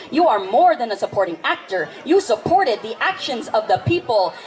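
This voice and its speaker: A woman speaks at a fairly quick pace, her pitch swinging very widely. There is noticeable background noise. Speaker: spoken word poet. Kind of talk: live spoken word poetry performance. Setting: outdoors.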